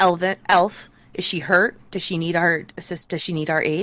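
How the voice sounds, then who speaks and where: A woman uses a put-on character voice. She keeps a moderate pace. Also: fairly low pitch for a woman. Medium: actual play. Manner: direct.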